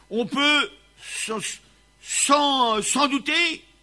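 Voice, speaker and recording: A man speaks in a raised, projected voice. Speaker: preacher. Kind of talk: sermon. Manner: loud.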